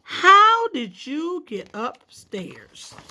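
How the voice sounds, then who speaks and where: A woman uses a put-on character voice pitched extremely high. Her pitch swings very widely. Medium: read story.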